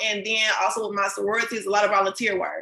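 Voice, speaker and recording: The speaker has an American accent and moves at a fairly quick pace. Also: woman. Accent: country-sounding. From Cincinnati, Ohio. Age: 20s. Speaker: small business owner. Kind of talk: podcast interview. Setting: live video podcast.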